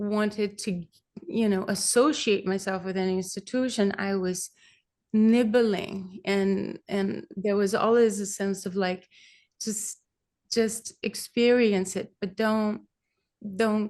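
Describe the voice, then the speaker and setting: With a Brazilian accent, a woman talks very slowly at medium pitch. Her intonation stays fairly even over a quiet background. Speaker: kirtan singer. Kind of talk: interview answer.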